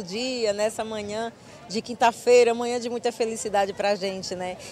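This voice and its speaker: A woman's fairly even intonation sits over light background noise. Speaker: field reporter. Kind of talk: live news report. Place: open country. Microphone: handheld.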